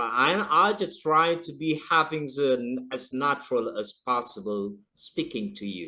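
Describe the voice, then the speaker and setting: Speaking at a moderate pace against a quiet background, a man uses a fairly high pitch, lively intonation and a bright, sharp tone. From Indonesia. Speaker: English teacher. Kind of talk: casual chat. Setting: video call.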